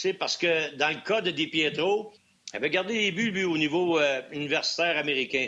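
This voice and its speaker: A man with a high voice speaks at a moderate pace and a very even loudness. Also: ordinary pitch variation. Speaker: former hockey player, hockey analyst. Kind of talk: casual chat.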